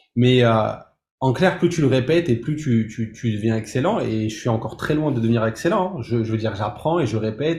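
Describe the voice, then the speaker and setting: A somewhat breathy man at a fairly quick pace, medium in pitch, with ordinary pitch variation. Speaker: music composer and producer, entrepreneur. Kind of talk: interview. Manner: halting, many repetitions.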